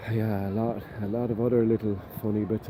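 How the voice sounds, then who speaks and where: With an Irish accent, a man talks at a very fast pace against noticeable background noise. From Ireland. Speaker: vlogger. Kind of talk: personal testimony. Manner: casual, animated storytelling.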